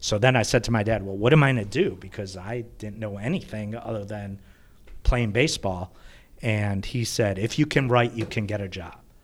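A man speaks at a moderate pace in an unremarkable speaking voice, fairly low in pitch with ordinary pitch variation. His loudness swings a lot, and the recording is very clean with a silent background. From US Midwest, Chicago northern suburbs. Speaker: sports team communications executive. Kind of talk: casual chat.

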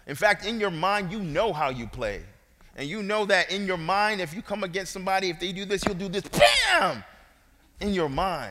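A man with a high pitch speaks in a raised, projected voice and an animated tone at a moderate pace, with ordinary pitch variation. Noticeable background noise and audible room echo fill the recording. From Brooklyn, New York. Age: 40s. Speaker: guest preacher. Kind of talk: sermon. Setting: church.

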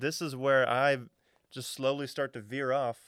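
A man speaks at a moderate pace in a plain, everyday voice, his pitch fairly high for a man, on a very clean recording with a silent background. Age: 30s. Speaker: singer and musician. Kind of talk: casual chat interview. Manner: casual, rambling.

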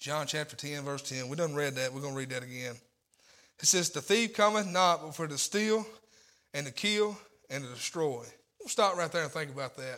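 A man with a Southern US accent, fairly high-pitched, bright and sharp in tone, with lively intonation, a fairly quick pace, and long, frequent pauses. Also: big swings in loudness. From Tennessee. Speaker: lay preacher. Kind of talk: sermon. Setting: church.

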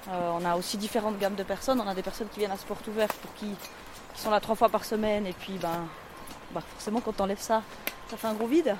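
Over noticeable background noise, a woman talks at a very fast pace, broken by long, frequent pauses. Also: medium pitch for a woman, fairly even intonation. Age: 40s. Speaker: social educator. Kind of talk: casual conversation while walking. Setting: outdoors, walking in forest. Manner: hesitant, many fillers.

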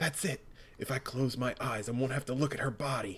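In a put-on character voice, a man speaks raspy and at a fairly quick pace, with medium pitch, fairly even intonation and very even loudness. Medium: read story. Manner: serious, solemn.

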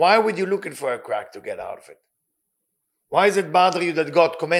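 Talking at a fairly quick pace, a man with a non-native accent has a high pitch. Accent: non-native accent, self-noted. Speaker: spiritual teacher and life coach. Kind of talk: religious lecture. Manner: emphatic, with hesitations.

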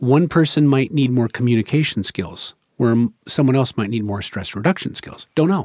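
A man with an American accent and a normal speaking voice, medium pitch, lively intonation and moderate pace, in a dry, close sound with no echo. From Rogue Valley, southern Oregon, US. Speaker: addiction counselor. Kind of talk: podcast interview.

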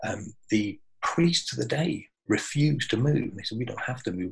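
A man's calm, somewhat breathy voice at medium pitch. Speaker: butcher and spiritual speaker. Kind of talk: spiritual talk in an interview. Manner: calm, peaceful.

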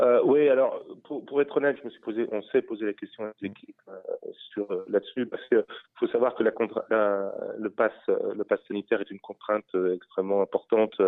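The pace is moderate. The loudness swings widely. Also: man. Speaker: racecourse president. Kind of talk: radio interview. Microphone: metallic, poor reception.

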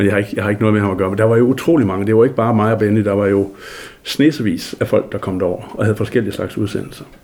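A man speaks very fast in a fairly low voice. His intonation stays fairly even. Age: 60s. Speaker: journalist, former local radio DJ. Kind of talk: interview. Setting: at home.

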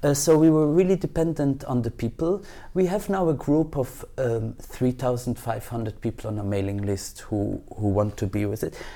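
A man with a dark, mellow tone speaks at medium pitch and a moderate pace with very wide pitch swings and hardly any pauses, on a very clean recording with a silent background. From Belgium. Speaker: cultural organization director. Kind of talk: interview. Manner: halting, many repetitions.

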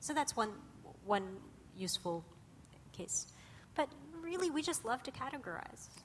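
A woman with an American accent speaks at a moderate pace in a high voice, her pitch swinging very widely, with long, frequent pauses. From Russia, later California. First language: Russian. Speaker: cognitive scientist. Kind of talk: lecture. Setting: stage with audience.

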